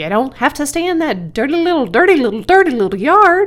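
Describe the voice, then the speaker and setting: A female-sounding put-on character voice, high and raised in projection, races at a fairly quick pace with very wide pitch swings. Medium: read story. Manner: fast, repetitive, stammering.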